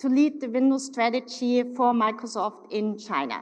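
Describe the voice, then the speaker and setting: Speaking in a German accent, a woman talks at a moderate pace with a high pitch. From Germany, Munich. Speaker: corporate executive. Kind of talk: keynote speech. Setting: stage with audience.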